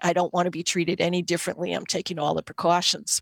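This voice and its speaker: A woman's very fast, fairly low-pitched voice with a Boston accent and vocal fry, dry and close with no echo, on a very clean recording with a silent background. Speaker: occupational therapist and Reiki teacher. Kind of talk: interview storytelling. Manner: animated.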